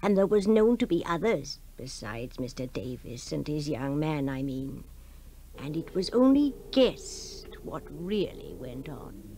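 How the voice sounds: A woman's put-on character voice, low in pitch and dark and mellow in tone, with big pitch swings and a fairly slow pace.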